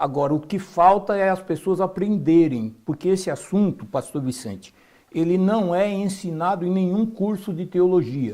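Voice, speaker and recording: A man talks at a fairly slow pace in a high pitch, with a dark, mellow tone and ordinary pitch variation. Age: 60s. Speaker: biologist and health speaker. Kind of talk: interview.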